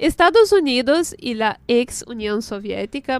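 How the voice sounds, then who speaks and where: A woman's high-pitched voice at a very slow pace. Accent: Portuguese. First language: Portuguese (speaking Spanish). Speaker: radio host. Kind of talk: radio show, casual chat.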